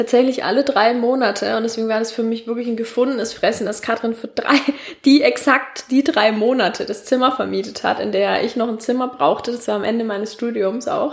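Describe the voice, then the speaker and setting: A woman with a southern German accent talks at a fairly quick pace in a fairly high pitch. Her intonation is fairly even, with noticeable background noise behind her. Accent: southern German, audible. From Franconia, Nuremberg. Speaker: podcast host. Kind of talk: casual chat.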